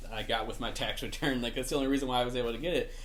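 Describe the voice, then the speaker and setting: Audible room echo fills the space. The man's pitch swings very widely. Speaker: gaming YouTuber. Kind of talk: casual vlog talk. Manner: frequent filler words, hesitant.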